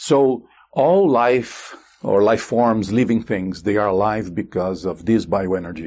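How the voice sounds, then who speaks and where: With a Portuguese accent, a man speaks at a fairly slow pace and a fairly low pitch, with ordinary pitch variation against a quiet background. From Brazil. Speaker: consciousness researcher and author. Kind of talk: interview. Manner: halting.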